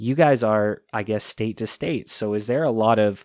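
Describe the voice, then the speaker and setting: A man speaks in a Canadian accent with a normal speaking voice. His pitch is medium, and the recording is very clean with a silent background. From Canada. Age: 20s. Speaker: podcast host. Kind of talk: casual interview.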